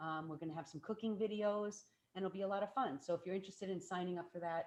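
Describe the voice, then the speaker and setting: This woman talks at a very fast pace. Her intonation stays fairly even. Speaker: plant-based chef and cooking instructor. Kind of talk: cooking demonstration. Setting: video call. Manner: soft-spoken.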